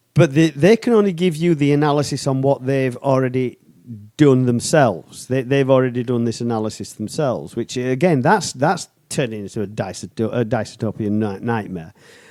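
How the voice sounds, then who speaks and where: With a British accent, a man speaks at a medium pitch and moderate pace, his tone dark and mellow and his intonation lively. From United Kingdom. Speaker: podcast co-host. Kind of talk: casual chat. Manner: animated.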